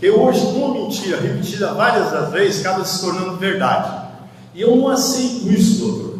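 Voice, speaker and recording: Amid noticeable background noise and audible room echo, a man talks with a high pitch and ordinary pitch variation. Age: 70s. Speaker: rural worker and community organizer. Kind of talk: audience question at public talk. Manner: halting.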